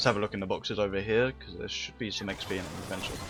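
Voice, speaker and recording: Over music in the background, a man speaks at a fairly low pitch with ordinary pitch variation. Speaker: gaming YouTuber. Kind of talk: gameplay commentary.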